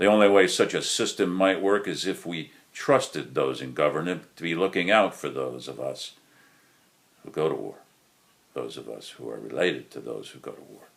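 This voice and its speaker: In an American accent, a man talks at a moderate pace, his loudness swinging widely. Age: 60s. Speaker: war veteran. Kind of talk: prepared monologue. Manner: formal.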